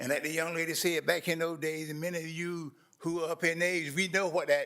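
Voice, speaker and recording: A man with a North Carolina accent speaks in a high-pitched voice with a bright, sharp tone. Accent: Southern US, North Carolina. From US South, eastern North Carolina (Roseboro). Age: 70s. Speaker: community watch president, public speaker. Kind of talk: public comment at a government meeting. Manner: earnest, impassioned.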